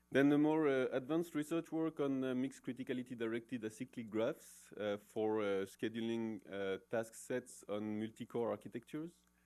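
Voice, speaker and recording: A man with a French accent and a dark, mellow tone, medium in pitch, at a fairly quick pace with hardly any pauses and ordinary pitch variation. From France. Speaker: professor. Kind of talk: conference talk. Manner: many hesitations (uh, um).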